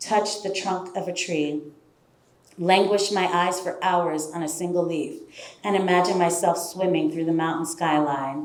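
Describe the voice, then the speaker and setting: Moderate pace from a woman at a medium pitch, fairly even intonation, with audible room echo and noticeable background noise. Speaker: storyteller. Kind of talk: spoken word storytelling. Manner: lyrical.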